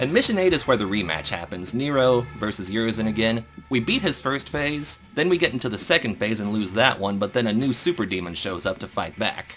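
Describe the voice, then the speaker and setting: A man's medium-pitched voice at a fairly quick pace with lively intonation and hardly any pauses, with music in the background. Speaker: gaming podcast host. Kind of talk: casual chat. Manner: fast.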